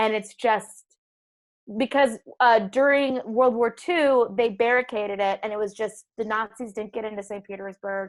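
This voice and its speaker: A woman speaks with a normal speaking voice and an American accent. Her fairly high pitch varies in an ordinary way at a moderate pace. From Minnesota and Boston, US. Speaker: stand-up comedian. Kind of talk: casual chat.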